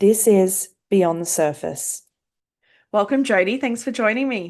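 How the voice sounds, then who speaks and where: A woman with an Australian accent talks at a fairly slow pace and a medium pitch. Her intonation is lively, and the background is quiet. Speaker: podcast host and counsellor. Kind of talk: interview.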